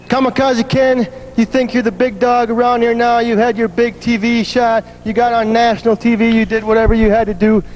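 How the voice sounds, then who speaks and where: Over noticeable background noise, a man with an extremely high pitch speaks in a flat monotone at very even loudness, with hardly any pauses. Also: fairly quick pace. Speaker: wrestler. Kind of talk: wrestling promo. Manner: brash, trash-talking.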